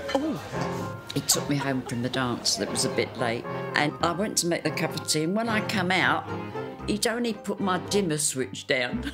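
A woman speaks at a moderate pace over clear music in the background. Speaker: retired civil servant. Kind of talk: interview answer. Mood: amused, reminiscing. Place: studio.

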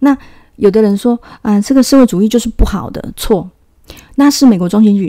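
A woman is speaking. Her tone is dark and mellow. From Taiwan. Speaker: video channel host. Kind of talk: monologue commentary on politics and spirituality.

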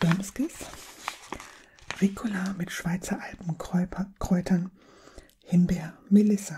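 A woman talks at a slow pace with a fairly low pitch, a dark, mellow tone, a husky, rough edge and fairly even intonation.

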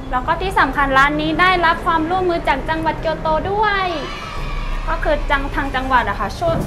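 Music plays in the background. The voice is raised and projected. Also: woman. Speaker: cafe reviewer, guide. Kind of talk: casual vlog chat. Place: cafe. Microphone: lapel.

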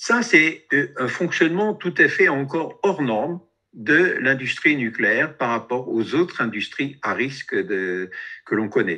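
With a quiet background, a man with a fairly high, bright, sharp voice and vocal fry speaks at a very slow pace, his pitch swinging very widely. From France. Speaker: activist, radiation protection researcher; webinar presenter. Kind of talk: presentation with slides. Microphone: video call.

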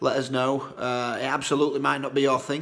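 A man at a very fast pace, intonation monotone and flat. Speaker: social media seller. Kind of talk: casual vlog chat. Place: home room. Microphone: phone near.

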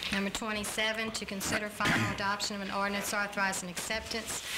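A woman speaking at a fairly quick pace amid loud background noise. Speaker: council clerk reading agenda. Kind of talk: formal agenda reading. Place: hall. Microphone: podium.

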